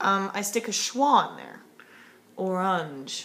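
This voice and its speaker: The room echo is audible. A woman speaks with an American accent. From US South. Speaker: linguistics student. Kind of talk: homework video monologue. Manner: casual, hesitant with fillers.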